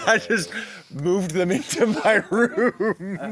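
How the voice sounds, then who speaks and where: With noticeable background noise behind him, a man speaks very slowly at a high pitch with lively intonation. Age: 30s. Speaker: interview host. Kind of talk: casual chat. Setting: outdoors by a fire pit.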